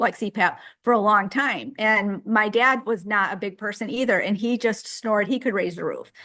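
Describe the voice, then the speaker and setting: A woman talks at a fairly quick pace in a normal speaking voice. Her pitch sits in the medium range and varies an ordinary amount. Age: 60s. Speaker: group member sharing diet story. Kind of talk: casual group chat.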